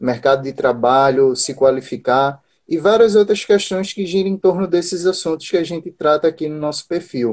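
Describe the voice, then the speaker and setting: This man has a normal speaking voice, talking at a moderate pace with ordinary pitch variation. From Brazil, Recife, Pernambuco. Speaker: job-listings channel host. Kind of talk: live stream interview.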